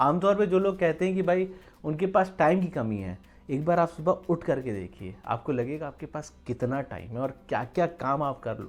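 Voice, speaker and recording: With a plain, everyday voice, a man speaks at a moderate pace and a fairly high pitch. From Uttar Pradesh, India. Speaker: vlogger. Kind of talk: motivational talk to camera. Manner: casual, conversational.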